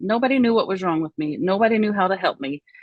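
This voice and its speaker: She has a Southern US accent and a medium pitch. The woman's intonation is lively. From Oklahoma, US. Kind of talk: interview testimony.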